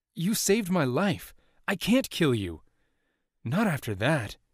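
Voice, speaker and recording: In a put-on character voice, a man speaks at a fairly slow pace, fairly high in pitch, with very wide pitch swings. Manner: whispering.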